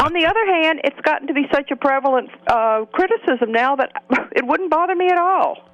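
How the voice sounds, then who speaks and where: At a fairly quick pace, a woman with a Southern US accent speaks at an extremely high pitch with lively intonation and very even loudness, in a dry, close sound with no echo. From US Deep South. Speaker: political commentator. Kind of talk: political talk radio discussion.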